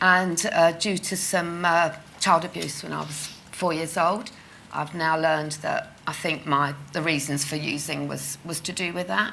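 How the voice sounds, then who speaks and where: A woman's fairly low voice with fairly even intonation, audible room echo and noticeable background noise. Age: 60s. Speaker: patient sharing lived experience of leg ulcers. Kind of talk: conference testimony interview. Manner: halting.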